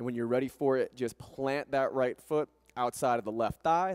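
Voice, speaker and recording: A plain, everyday voice at a fairly quick pace, with ordinary pitch variation and a quiet background. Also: man. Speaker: yoga instructor. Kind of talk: guided yoga class, calm step-by-step cueing and breath instruction. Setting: yoga studio class. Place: gym. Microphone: headset.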